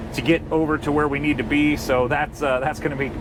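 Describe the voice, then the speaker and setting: Noticeable background noise accompanies a man speaking at a fairly quick pace with a fairly high pitch. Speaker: truck driver vlogger. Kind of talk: casual vlog talk.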